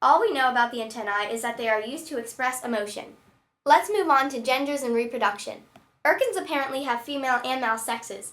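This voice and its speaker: At a very fast pace, a woman talks in a high pitch with ordinary pitch variation. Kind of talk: scripted fan fact narration.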